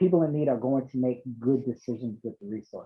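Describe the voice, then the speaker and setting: Speaking at a moderate speed, a man keeps to a medium pitch. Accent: American. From Boston. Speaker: nonprofit chief executive. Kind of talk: panel discussion. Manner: hesitant, many fillers.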